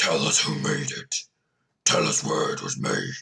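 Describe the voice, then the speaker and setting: A put-on character voice, raspy and at a moderate pace. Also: man. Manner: yelling.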